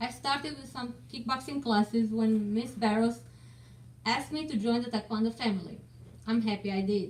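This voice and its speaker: At a moderate pace, a woman talks in a fairly high, somewhat breathy voice. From Romania. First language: Romanian. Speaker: martial arts student, parent. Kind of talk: prepared speech.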